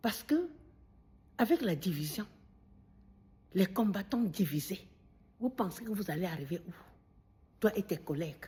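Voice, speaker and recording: Somewhat breathy and dark, mellow in tone, a woman speaks at medium pitch with lively intonation and a fairly slow pace. Her loudness swings widely, and her speech has long, frequent pauses. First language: Bamileke (Bafang or Baham) (speaking French). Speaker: video commentator. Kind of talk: monologue addressing a critic. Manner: animated.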